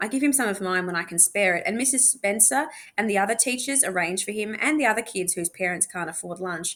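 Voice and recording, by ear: The voice sounds natural. It is reading aloud.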